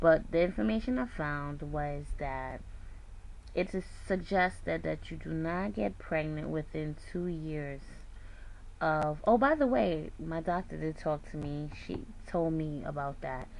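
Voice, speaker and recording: Her pitch very deep and low, a woman talks at a fairly slow pace with lively intonation. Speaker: weight loss surgery vlogger. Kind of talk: casual vlog. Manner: soft-spoken.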